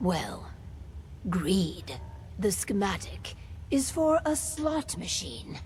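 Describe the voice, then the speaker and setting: Someone speaks in a put-on character voice at a fairly slow pace. Clear background noise can be heard. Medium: video game. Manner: cool, calculating.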